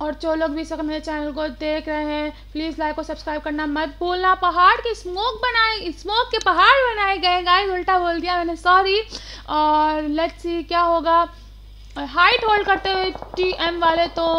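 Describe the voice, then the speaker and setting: Raised and projected, a woman's extremely high voice has a bright, sharp tone and ordinary pitch variation. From Pakistan. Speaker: esports streamer and commentator. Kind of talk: live commentary. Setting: live stream.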